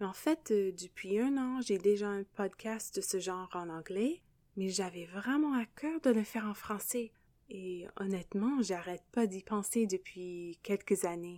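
A woman's medium-pitched voice in an English accent, dark and mellow in tone, very slow in pace, with ordinary pitch variation. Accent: English-speaking accent in French. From English Canada. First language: English (speaking French). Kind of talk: devotional podcast monologue.

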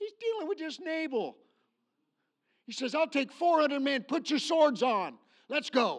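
Pitched extremely high, a man's voice has lively intonation. He leaves long, frequent pauses. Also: fairly slow pace, quiet background. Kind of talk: sermon. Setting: church. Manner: animated; emphatic, preacher in full flow, rallying the congregation.

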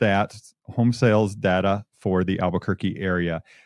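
In a plain, everyday voice, a man with an American accent talks at a fairly low pitch, the recording very clean with a silent background and a dry, close sound with no echo. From Michigan. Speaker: real estate agent and radio host. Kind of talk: casual radio talk show.

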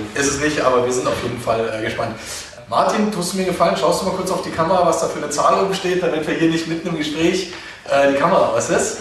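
Very fast speech comes from a man with a high pitch and ordinary pitch variation. Noticeable background noise and audible room echo are present. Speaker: podcast host. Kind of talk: casual interview. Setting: office rooftop terrace, video recording. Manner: loud and clear.

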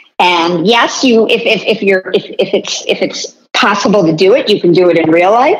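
A woman with a plain, everyday voice speaks at a moderate pace and medium pitch, with ordinary pitch variation, very even loudness and hardly any pauses. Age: 50s. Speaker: marketing executive and author. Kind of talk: interview.

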